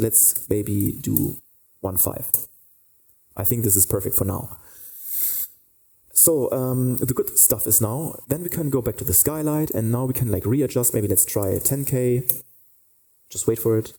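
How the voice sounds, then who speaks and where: This man's tone is dark and mellow and somewhat breathy, and he talks at a fairly slow pace with long, frequent pauses. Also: medium pitch for a man, ordinary pitch variation. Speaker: 3D lighting instructor. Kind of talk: tutorial. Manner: halting, many fillers.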